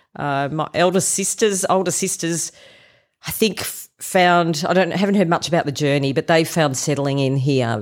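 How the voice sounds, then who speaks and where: A woman with an Australian accent speaks at a moderate pace with lively intonation. The recording is very clean, with a silent background. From rural Victoria, Australia. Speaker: church member. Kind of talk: interview. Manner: hesitant with fillers.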